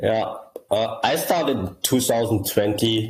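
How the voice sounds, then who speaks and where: With audible room echo, a man with a German accent speaks at a moderate pace in a somewhat breathy voice with fairly even intonation. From southern Germany, grew up there from childhood. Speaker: crypto project founder. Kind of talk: interview. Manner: halting, many repetitions.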